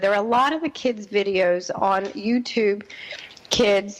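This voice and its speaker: Noticeable background noise behind a woman with an American accent speaking at a moderate pace. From New Jersey. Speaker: radio host, parenting expert. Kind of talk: radio talk show monologue.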